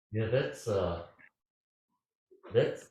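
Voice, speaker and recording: A man speaks at a fairly slow pace in a medium pitch, his tone dark and mellow and somewhat breathy. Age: 80s+. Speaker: Zen teacher. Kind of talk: dharma talk; answering a question. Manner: halting.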